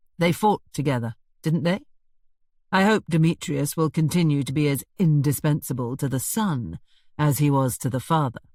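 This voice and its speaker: Using a put-on character voice, a man drawls at a fairly high pitch. His pace is moderate. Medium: read story. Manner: drawling, sardonic.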